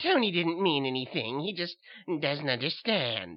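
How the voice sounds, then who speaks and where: A man in a put-on character voice, fairly high-pitched, at a moderate pace. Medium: read story. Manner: sweet, knowing, quietly mocking.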